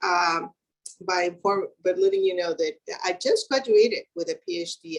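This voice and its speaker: A woman talks with a Spanish accent. Her pace is moderate. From Mexico, Acapulco. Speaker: engineer, keynote speaker. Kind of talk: keynote speech.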